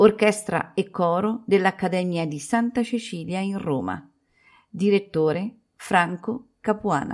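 Very slow delivery, ordinary pitch variation, and a very clean recording with a silent background. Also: woman, medium pitch for a woman. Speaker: radio announcer. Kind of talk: radio program announcement, reading cast list. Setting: radio broadcast. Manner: formal, measured; clear, even-paced.

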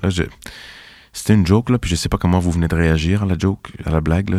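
A man's very deep, low voice with a dark, mellow tone, at a very fast pace. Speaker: writer and performer. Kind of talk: reading aloud. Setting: studio.

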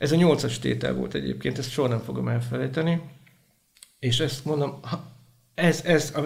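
The speech has long, frequent pauses. Audible room echo surrounds it. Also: man. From Hungary, Vas county. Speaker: prison chaplain. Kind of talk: interview testimony.

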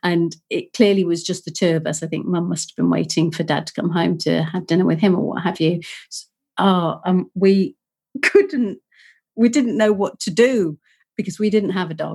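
A Yorkshire accent, somewhat breathy, with ordinary pitch variation and a moderate pace. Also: woman, fairly low pitch for a woman. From northern England (Leeds, Yorkshire). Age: 50s. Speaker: podcast co-host. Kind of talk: casual chat.

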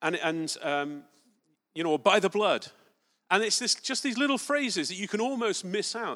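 In an English accent, the voice has a bright, sharp tone and lively intonation at a moderate pace, on a very clean recording with a silent background. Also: man, high pitch for a man. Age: 40s. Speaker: preacher. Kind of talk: sermon. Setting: church.

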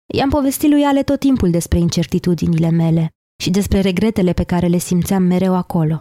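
A woman with a dark, mellow tone and very wide pitch swings at a moderate pace, in a dry, close sound with no echo on a very clean recording with a silent background. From southern Romania, Teleorman. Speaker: podcast host. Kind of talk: scripted narration.

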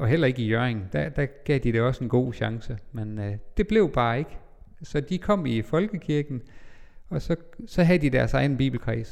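A man speaks at a medium pitch and a moderate pace. His intonation is lively. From Denmark, North Jutland (Vendsyssel). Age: 40s. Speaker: pastor. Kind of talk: life-story interview. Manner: hesitant, many fillers.

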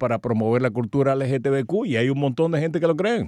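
A man's medium-pitched voice, dark and mellow in tone, with ordinary pitch variation and a fairly quick pace, in a dry, close sound with no echo. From Cuba. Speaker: radio host and journalist. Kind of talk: radio interview.

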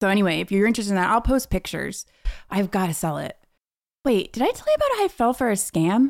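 On a very clean recording with a silent background, a woman talks at a very fast pace. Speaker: podcast co-host. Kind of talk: casual chat. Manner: loud.

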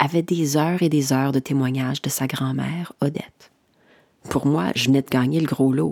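The woman's pitch shifts in an ordinary way as she talks at a moderate speed. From Saskatchewan, Saskatoon. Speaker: podcast host and producer. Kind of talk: scripted narration; staged radio interview skit.

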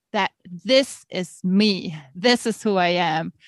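The speaker has a German accent. The sound is dry and close, with no echo. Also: woman, quiet background. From Germany. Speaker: author and teacher. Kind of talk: interview.

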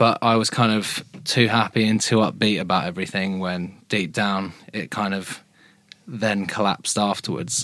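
In a British accent, a man with a fairly low voice speaks at a moderate pace with fairly even intonation on a very clean recording with a silent background. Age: 20s. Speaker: charity endurance runner. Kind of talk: interview.

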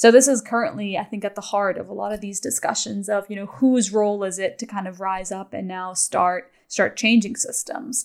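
In an unremarkable speaking voice, a woman talks at a moderate pace in a medium pitch with ordinary pitch variation and hardly any pauses. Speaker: podcast host. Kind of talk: interview.

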